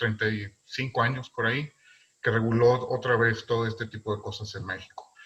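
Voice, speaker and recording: Speaking at a moderate pace, a man with a northern Mexican accent keeps a medium pitch and fairly even intonation. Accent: northern Mexican, fairly marked. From northern Mexico. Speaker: philatelist presenter. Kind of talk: lecture. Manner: loud; halting, many fillers.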